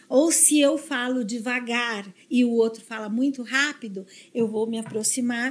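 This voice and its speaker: A woman's high-pitched voice at a fairly slow pace with fairly even intonation. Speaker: neuro-linguistic programming specialist. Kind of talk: podcast interview. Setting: studio.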